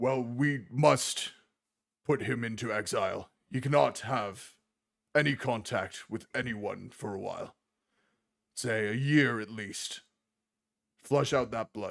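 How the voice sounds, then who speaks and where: A man does a put-on character voice at medium pitch and a fairly slow pace, with long, frequent pauses. The recording is very clean, with a silent background. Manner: authoritative, stern.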